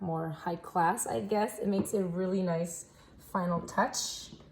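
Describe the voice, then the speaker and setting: Fairly slow and fairly even in intonation, a woman with a French Canadian accent speaks at a medium pitch. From French Canada. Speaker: soap maker. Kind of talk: tutorial. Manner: casual, with fillers.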